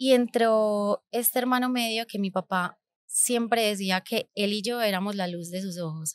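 At a fairly slow pace, a woman speaks with a medium pitch and ordinary pitch variation. There is no echo, just a dry sound. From Colombia, Medellín (raised partly abroad). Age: 30s. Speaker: podcast host, entrepreneur; podcast host. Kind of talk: personal storytelling monologue. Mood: reflective, warm. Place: studio. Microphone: studio mic.

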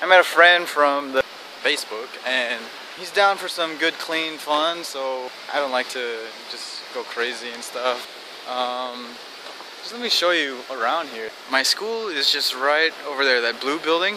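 Loudness swings widely as a man speaks at a fairly slow pace. The sound is dry with no echo, over noticeable background noise. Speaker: vlogger. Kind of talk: casual vlog chat. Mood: amused, relaxed. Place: street. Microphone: phone near.

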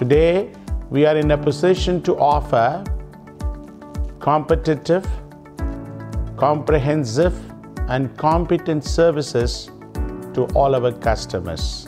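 Clear music plays behind a man who speaks at a fairly slow pace. He leaves long, frequent pauses. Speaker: company executive. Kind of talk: corporate announcement speech. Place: office.

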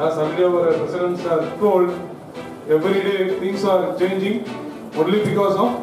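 Clear music plays in the background as a high-pitched man talks at a moderate pace. His intonation is fairly even, with audible room echo. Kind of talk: formal speech to an audience. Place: hall.

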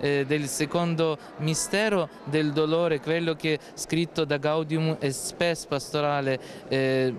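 A man with a Ukrainian accent speaks very slowly at a fairly high pitch, his intonation monotone and flat and his loudness very even, with noticeable background noise behind him. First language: Ukrainian (speaking Italian). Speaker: priest. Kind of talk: interview. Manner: halting.

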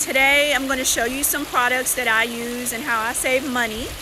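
With noticeable background noise behind her, a woman speaks in a raised, projected voice at a moderate pace with fairly even intonation. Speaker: personal finance vlogger. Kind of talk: casual live stream chat. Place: beach. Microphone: phone near.

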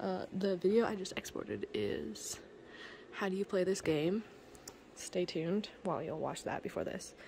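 There is light background noise. A woman talks at a moderate pace. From Canada. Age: 20s. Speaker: vlogger. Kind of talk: casual home tour vlog. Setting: at home. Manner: casual, chatty. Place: home room. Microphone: phone near.

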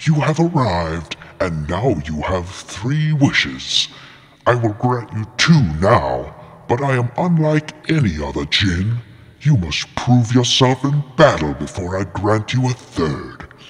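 A man's put-on character voice at medium pitch, with very wide pitch swings and a fairly slow pace. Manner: grandiose, mocking, theatrical.

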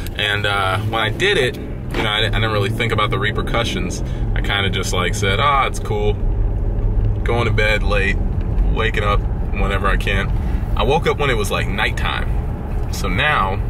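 A man at a moderate pace, with long, frequent pauses and noticeable background noise. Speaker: vlogger. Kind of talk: casual vlog chat. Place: car. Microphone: phone near.

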